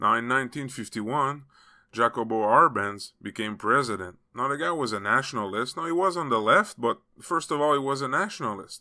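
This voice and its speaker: With a French Canadian accent and a bright, sharp tone, a man talks at a moderate pace with lively intonation in a very clean recording over a silent background. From Quebec. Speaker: political commentary youtuber. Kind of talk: video commentary.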